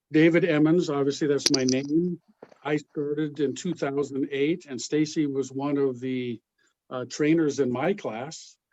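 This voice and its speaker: A man with a normal speaking voice talks at a fairly slow pace, his fairly high pitch held in fairly even intonation. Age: 60s. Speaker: basketball referee organizer. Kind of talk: introduction at training session.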